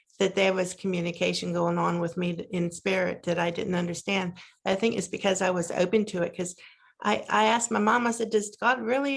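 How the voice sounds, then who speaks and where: Heard on a very clean recording with a silent background, a woman with an American accent uses a normal speaking voice. Her pace is moderate and her intonation fairly even. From Pennsylvania, US. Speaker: near-death experiencer. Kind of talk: casual conversation, testimony.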